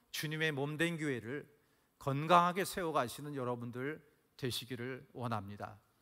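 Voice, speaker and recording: A man at a fairly slow pace, bright and sharp in tone, with ordinary pitch variation on a very clean recording with a silent background. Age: 60s. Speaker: pastor. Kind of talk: sermon. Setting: church. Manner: animated.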